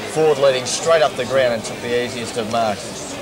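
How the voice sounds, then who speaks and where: Loud background noise runs under a man with an Australian accent. His intonation stays fairly even. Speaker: football commentator. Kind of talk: live Australian rules football commentary, describing play-by-play at the ground. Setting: at the ground. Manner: casual, conversational and relaxed, with a local-radio feel. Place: stadium. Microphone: old recording.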